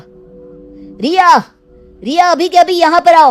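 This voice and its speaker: A woman shouts in a put-on character voice, raised and projected, with an angry tone at a fairly slow pace. Faint music plays in the background. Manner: angry, shouting.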